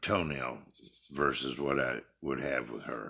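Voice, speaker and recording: A man's very deep, low voice with a bright, sharp tone and vocal fry, fairly even in intonation, at a moderate pace. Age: 60s. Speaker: retiree recording family history vlog. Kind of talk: personal monologue. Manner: halting.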